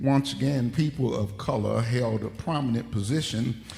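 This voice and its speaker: Fairly slow male speech at a medium pitch, ordinary pitch variation, audible room echo all around. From Detroit, US Midwest. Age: 60s. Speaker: pastor. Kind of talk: sermon. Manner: emphatic, repeats points.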